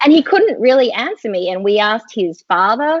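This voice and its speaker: A woman with an Australian accent talks at a fairly quick pace with ordinary pitch variation. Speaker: skincare company co-founder. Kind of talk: interview. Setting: live online video chat.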